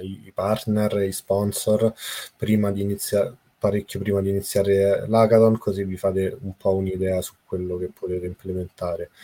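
The dark, mellow tone comes in monotone, flat intonation on a very clean recording with a silent background. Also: man. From Italy, Rome. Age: 30s. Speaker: blockchain developer. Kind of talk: casual chat.

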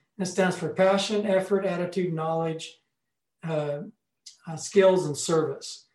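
With an American accent, a man talks at a fairly slow pace and a high pitch, his intonation monotone and flat. Long, frequent pauses and audible room echo mark the recording. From US Pacific Northwest, Salem, Oregon. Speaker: former entertainment center manager and roller hockey player. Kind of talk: interview.

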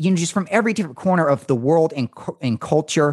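In an ordinary speaking voice, a man talks at a fairly quick pace and fairly high pitch with lively intonation, the sound dry and close with no echo. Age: young. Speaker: radio host. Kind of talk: casual chat. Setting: video call.

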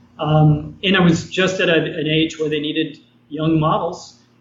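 A man with an American accent talks at a fairly high pitch as noticeable background noise goes on. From New York. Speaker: former TV actor and artist. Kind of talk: interview. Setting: video call.

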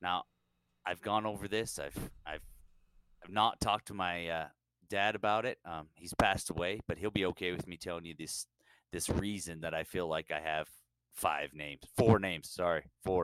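A man with a very deep, low pitch speaks at a moderate pace, with long, frequent pauses and fairly even intonation but big swings in loudness. The sound is dry and close with no echo, on a very clean recording with a silent background. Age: 40s. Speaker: podcast co-host. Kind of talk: casual chat.

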